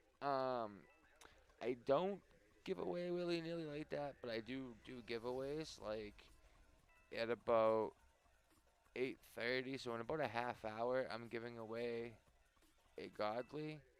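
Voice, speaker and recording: Soft-spoken and at a medium pitch, a man talks fairly slowly with long, frequent pauses. His pitch varies in an ordinary way, and music plays in the background. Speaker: gaming streamer. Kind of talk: live stream chat. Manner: quiet, soft-spoken. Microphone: mic can't go louder without feedback.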